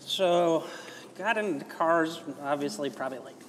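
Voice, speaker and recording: A man speaks with an American accent amid noticeable background noise. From US Midwest, Chicago. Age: 20s. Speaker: driving instructor. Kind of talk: casual chat. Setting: clubhouse over food and drinks.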